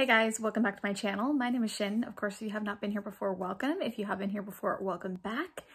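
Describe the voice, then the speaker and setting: This quiet, somewhat breathy voice moves at a very fast pace with hardly any pauses. Its pitch varies in an ordinary way. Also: woman, fairly high pitch for a woman. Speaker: beauty vlogger. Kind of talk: makeup tutorial. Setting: at home, living room. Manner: casual, chatty.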